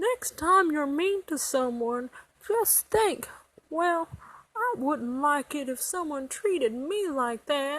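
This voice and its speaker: A put-on character voice comes through at a high pitch. The pace is fairly slow. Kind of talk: children's advice monologue to camera.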